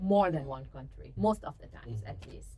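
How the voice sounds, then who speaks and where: A woman with a Lebanese accent speaks at a moderate pace. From Lebanon. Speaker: graduate student and student forum president. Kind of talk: interview conversation.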